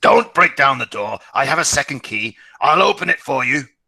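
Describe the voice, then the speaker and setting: A man puts on a character voice that is raspy and shrill, pitched fairly high for a man and delivered at a moderate pace. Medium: read story. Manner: fawning and malicious.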